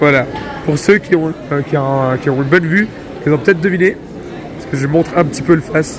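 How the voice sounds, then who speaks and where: A man rattles off words at a very fast pace with ordinary pitch variation, his voice carrying audible room echo amid noticeable background noise. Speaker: vlogger. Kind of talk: casual vlog. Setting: convention hall.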